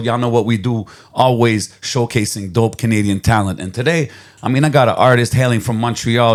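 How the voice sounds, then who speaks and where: At a fairly quick pace, a man talks in an unremarkable speaking voice with a medium pitch. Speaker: podcast host. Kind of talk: podcast intro. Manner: upbeat.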